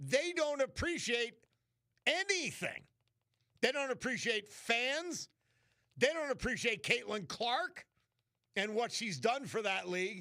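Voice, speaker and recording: Speaking with an American accent in a raised, projected voice, the bright, sharp tone swings very widely in pitch at a fairly slow pace with long, frequent pauses. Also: man, extremely high pitch for a man. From New York City. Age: 60s. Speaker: radio host. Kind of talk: talk radio monologue. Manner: animated.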